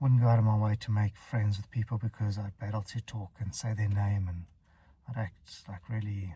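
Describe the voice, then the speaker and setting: A man talks at a moderate pace in a fairly low, somewhat breathy voice with a dark, mellow tone and fairly even intonation. The recording is very clean with a silent background. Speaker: stuttering coach. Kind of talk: casual advice vlog. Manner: stutters; halting, with fillers.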